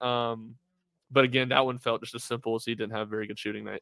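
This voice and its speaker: Very fast speech in a Southern Tennessee accent with fairly even intonation. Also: man. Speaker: sports writer. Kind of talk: casual chat.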